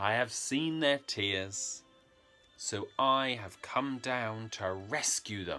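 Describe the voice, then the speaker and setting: A man in a booming, put-on character voice speaks very slowly at medium pitch with ordinary pitch variation, faint music playing in the background. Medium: read story. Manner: solemn, authoritative.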